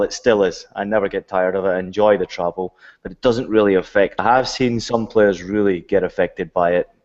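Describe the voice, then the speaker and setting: A man in a Scottish accent talks fairly quickly at a fairly low pitch, his intonation fairly even, with a quiet background. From Scotland. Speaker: retired footballer and play-by-play commentator. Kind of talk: casual chat.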